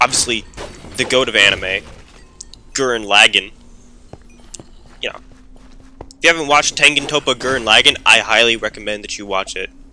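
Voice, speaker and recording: A loud man speaks at a medium pitch with ordinary pitch variation and a fairly quick pace. He takes long, frequent pauses over noticeable background noise. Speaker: gaming YouTuber. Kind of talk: gameplay commentary. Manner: casual, rambling with fillers.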